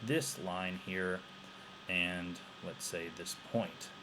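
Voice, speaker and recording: There is audible room echo around a man's very deep, low voice. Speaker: teacher. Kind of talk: tutorial. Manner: halting.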